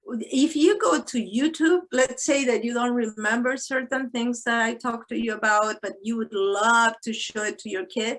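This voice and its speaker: A woman speaks with a Spanish accent. Her pace is moderate, with ordinary pitch variation. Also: fairly high pitch for a woman, hardly any pauses. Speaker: psychologist and tapping instructor. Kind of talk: webinar Q&A.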